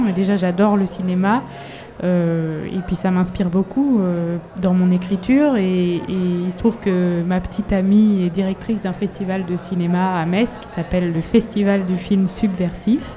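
A woman at a medium pitch and a fairly slow pace, fairly even in intonation, against noticeable background noise. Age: 30s. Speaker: singer-songwriter. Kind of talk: interview. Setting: live in front of an audience. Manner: halting.

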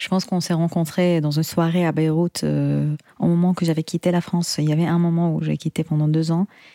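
In a dry, close recording with no echo, a woman speaks at a fairly low pitch in a dark, mellow tone with monotone, flat intonation. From Syria. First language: Arabic (speaking French). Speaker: singer and composer. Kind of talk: interview. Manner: halting.

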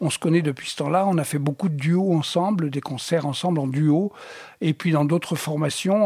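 A man at a moderate pace, fairly high in pitch with ordinary pitch variation, an unremarkable speaking voice. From Tunisia. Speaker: jazz drummer. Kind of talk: interview.

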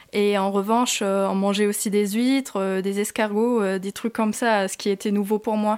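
Monotone, flat intonation from a woman, her speech running with hardly any pauses. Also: medium pitch for a woman, moderate pace. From Germany. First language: German (speaking French). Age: 20s. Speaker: student, former au pair. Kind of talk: interview.

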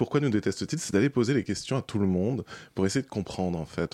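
A man's fairly low, fairly quick voice with lively intonation on a very clean recording with a silent background. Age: 30s. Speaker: documentary filmmaker. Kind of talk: interview. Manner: hesitant.

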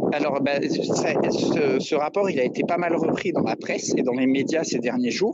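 A man with a fairly high pitch talks at a fairly slow pace with ordinary pitch variation and hardly any pauses, over noticeable background noise. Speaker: environmental activist. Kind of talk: radio interview. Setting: phone call.

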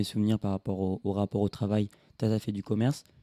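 In a dry, close sound with no echo, a man speaks fairly quickly at a fairly low pitch, his tone dark and mellow and his intonation monotone and flat. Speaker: podcast host. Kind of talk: interview.

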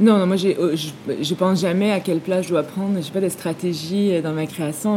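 A woman with a fairly low pitch talks at a fairly quick pace and with fairly even intonation against noticeable background noise. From Quebec. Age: 40s. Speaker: film director. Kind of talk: interview. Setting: film festival.

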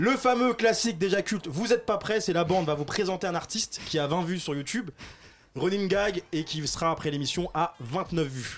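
Over music in the background, a man with a high pitch speaks at a moderate pace with lively intonation. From Paris suburbs, Seine-Saint-Denis. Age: 20s. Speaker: radio host. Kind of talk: casual radio chat. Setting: radio studio.

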